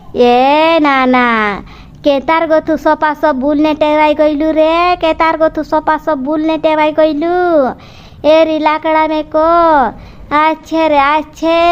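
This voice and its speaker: A cartoonish character voice, high-pitched and monotone with flat intonation, speaks at a very slow pace. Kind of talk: rustic comic cartoon voice. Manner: repetitive, emphatic.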